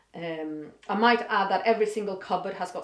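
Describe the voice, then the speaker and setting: A woman with a Swedish accent, at a moderate pace and with fairly even intonation. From Sweden. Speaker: vlogger. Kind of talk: casual vlog monologue. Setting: home office. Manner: halting, thinking aloud.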